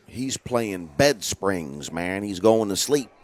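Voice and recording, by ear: A man talks at a slow pace, his pitch fairly low and his intonation lively.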